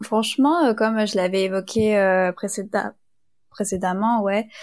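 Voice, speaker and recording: The woman's intonation stays fairly even, and the sound is dry and close with no echo. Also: very clean recording, silent background. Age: young. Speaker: business school student. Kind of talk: casual interview.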